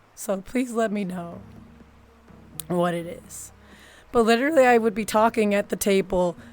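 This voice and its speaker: A woman at a medium pitch, ordinary pitch variation, long and frequent pauses, with music in the background. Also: moderate pace, big swings in loudness. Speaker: streamer. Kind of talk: casual chat. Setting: live stream.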